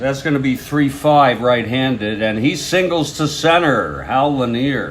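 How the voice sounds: At a fairly slow pace, a man with a medium pitch speaks with lively intonation over faint background noise.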